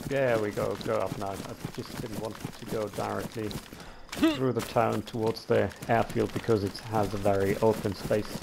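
With noticeable background noise behind him, a man talks in a monotone, flat intonation. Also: fairly low pitch for a man, moderate pace. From Germany, Cologne. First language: German. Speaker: online gamer teammate. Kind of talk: casual chat while gaming.

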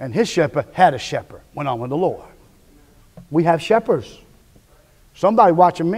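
An animated, high-pitched male voice with lively intonation, big swings in loudness, and long, frequent pauses. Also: moderate pace. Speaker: preacher. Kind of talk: sermon. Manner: animated, call-and-response, repeating phrases for emphasis; teaching, conversational, direct address to the congregation. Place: church. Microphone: podium.

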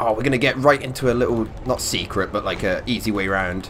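Medium-pitched male voice at a moderate pace over noticeable background noise. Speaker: gaming commentator. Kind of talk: let's play commentary. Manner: casual, animated.

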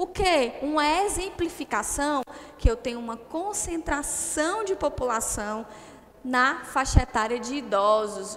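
A woman speaks in a high pitch at a fairly slow pace. Her pitch swings very widely. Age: 30s. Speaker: geography teacher. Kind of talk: online lecture. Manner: animated. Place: classroom. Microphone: headset.

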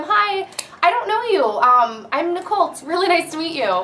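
A woman does a breathy, put-on character voice at an extremely high pitch. She speaks at a moderate pace over clear background noise. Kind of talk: friendly greeting. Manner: light, airy, fun, smiling.

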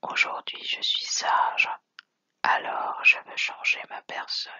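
Whispered words come at a very slow pace. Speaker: channel host reading quotes. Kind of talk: ASMR quote reading. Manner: whispered, soft-spoken.

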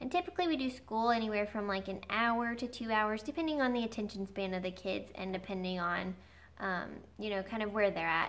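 With ordinary pitch variation, a woman speaks at a very fast pace. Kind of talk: casual vlog chat. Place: home room. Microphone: camera far.

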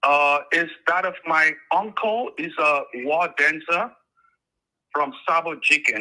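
At a very slow pace, a man speaks in a bright, sharp tone with ordinary pitch variation against a quiet background. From Liberia. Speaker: caller. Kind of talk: phone-in call.

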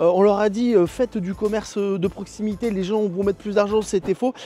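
High-pitched male voice at a fairly quick pace, dry with no echo. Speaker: comedic vlogger. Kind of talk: casual vlog chat. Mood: sarcastic, joking. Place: open country. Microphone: lapel.

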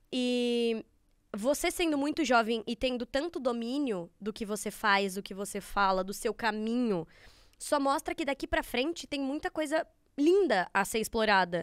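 A woman speaks high and fairly slowly, her intonation lively. The sound is dry with no echo, over a quiet background. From Brazil. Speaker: podcast host. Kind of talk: casual chat. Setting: studio. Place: studio. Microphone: studio mic.

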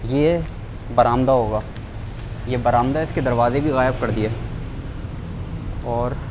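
Noticeable background noise sits behind this man. He speaks at a moderate pace. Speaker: urban explorer vlogger. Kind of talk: exploration commentary. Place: empty room. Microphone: phone near.

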